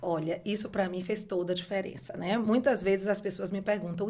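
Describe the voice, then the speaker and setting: A woman talking at a moderate pace. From Brazil, Bahia (Salvador). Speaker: beauty entrepreneur, former university professor. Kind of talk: podcast interview.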